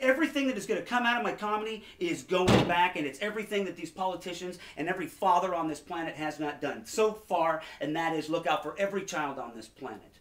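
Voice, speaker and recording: Over noticeable background noise, a man with an American accent speaks in an intense tone at a high pitch and a very fast pace, his intonation lively. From Aberdeen, Washington. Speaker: comedian. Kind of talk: podcast interview answer. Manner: intense, fast-talking.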